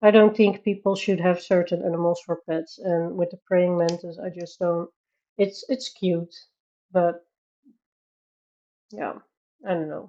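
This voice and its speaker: In a Dutch accent, a woman speaks at a fairly low pitch and a fairly slow pace, with fairly even intonation and long, frequent pauses. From Netherlands. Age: 30s. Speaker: livestreamer, colorist. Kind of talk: casual chat. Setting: live stream. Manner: halting.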